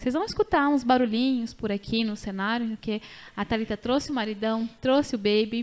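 A woman talks at a moderate pace in a fairly high voice. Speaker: podcast host and doula. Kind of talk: casual chat. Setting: studio. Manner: animated.

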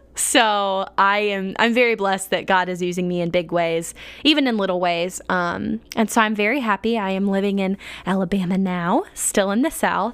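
At a moderate pace and medium pitch, a woman speaks in an unremarkable speaking voice with ordinary pitch variation. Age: 20s. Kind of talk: casual devotional monologue. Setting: home living room desk.

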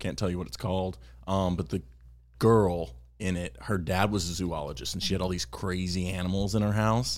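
A man with an American accent speaks at a moderate pace in a very deep, low voice, with lively intonation and vocal fry. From Texas. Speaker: actor. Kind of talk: casual interview chat.

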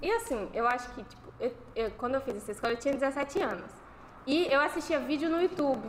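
A woman with a high voice talks at a fairly quick pace with lively intonation against noticeable background noise. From Bahia, Brazil. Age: 20s. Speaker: university student. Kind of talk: casual chat. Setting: live stream with panel.

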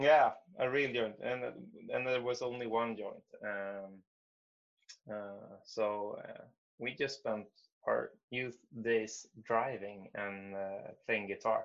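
The voice has a Swedish accent and fairly even intonation. It moves at a very slow pace with long, frequent pauses. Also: man, medium pitch for a man. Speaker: musician. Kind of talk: interview. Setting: video call.

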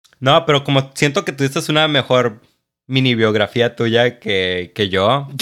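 A man's medium-pitched voice with lively intonation at a fairly slow pace, in a very clean recording with a silent background. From Mexico, Chiapas (Tapachula). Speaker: podcast co-host. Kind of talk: casual chat. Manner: animated.

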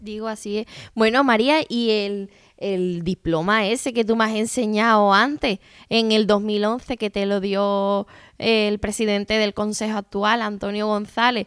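In an ordinary speaking voice, a woman talks at a fairly slow pace with fairly high pitch and fairly even intonation, her sound dry and close with no echo on a very clean recording with a silent background. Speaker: interviewer. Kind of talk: interview. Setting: at guest's home.

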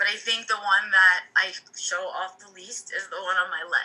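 A woman with an American accent speaks at medium pitch and a moderate pace, with fairly even intonation and an ordinary speaking voice. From United States. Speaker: podcast co-host and teacher. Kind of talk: casual chat.

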